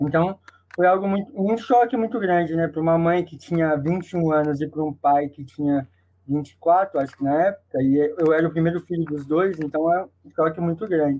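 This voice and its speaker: His pace is moderate. The man's voice sits high in pitch. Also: ordinary pitch variation. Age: 20s. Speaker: wheelchair rugby player. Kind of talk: casual chat.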